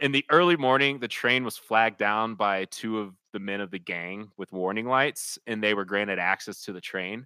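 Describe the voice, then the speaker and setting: A man with an American accent speaks at a moderate pace with hardly any pauses, his fairly low voice bright and sharp in tone with ordinary pitch variation. The very clean recording has a silent background and a dry, close sound with no echo. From suburban Kansas City area, US Midwest. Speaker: podcast co-host and band singer. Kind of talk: casual chat with history storytelling.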